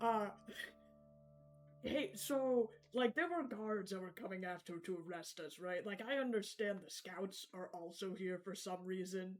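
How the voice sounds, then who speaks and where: Faint music plays in the background as someone uses a put-on character voice at a middle pitch and a moderate pace. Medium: actual play. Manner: hasty, anxious bluffing.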